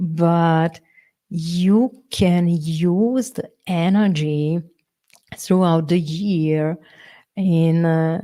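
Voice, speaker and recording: A woman with a non-native accent speaks very slowly, with long, frequent pauses. Her fairly low voice has a dark, mellow tone and fairly even intonation. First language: not English. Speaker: workshop leader, feng shui coach. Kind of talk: live online workshop. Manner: halting, with many fillers and repetitions.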